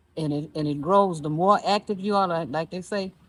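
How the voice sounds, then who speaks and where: Her voice sits fairly low for a woman, and its pitch moves in an ordinary way. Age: 60s. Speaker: senior women's basketball player and organizer. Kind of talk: interview. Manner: halting, with many fillers and repeats.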